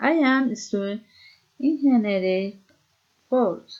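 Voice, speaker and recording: The intonation is lively. It is a woman who is talking. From Colombia, Boyacá (Socha). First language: Spanish. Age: 30s. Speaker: student. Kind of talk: reading aloud. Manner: halting.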